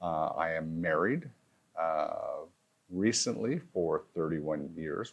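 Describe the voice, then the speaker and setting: A man with a Manitoba accent. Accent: Canadian English (Manitoba). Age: 60s. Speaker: former politician and realtor. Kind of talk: interview. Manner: hesitant, many fillers.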